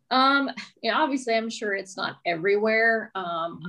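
Speaking at a moderate pace, a woman with an ordinary speaking voice uses lively intonation. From US South, Mobile, Alabama. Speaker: real estate agent and podcast host. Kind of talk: casual interview chat.

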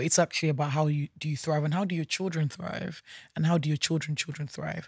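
Recorded very cleanly with a silent background and a dry, close sound with no echo, a woman speaks at a very deep, low pitch, somewhat breathy, with fairly even intonation. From Nigeria. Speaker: entrepreneur, founder of a social enterprise. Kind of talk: interview. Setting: studio.

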